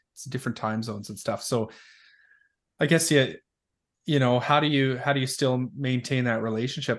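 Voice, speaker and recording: Moving at a fairly quick pace with fairly even intonation, an unremarkable speaking voice comes through over a quiet background. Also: man. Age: 30s. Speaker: parenting podcast host. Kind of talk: casual interview. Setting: studio.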